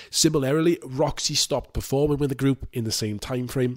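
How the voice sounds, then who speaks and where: A man speaks at medium pitch with a British accent. The recording is very clean, with a silent background. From UK. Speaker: music YouTuber reviewing album discographies. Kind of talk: scripted review monologue. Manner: casual and irreverent, swears freely.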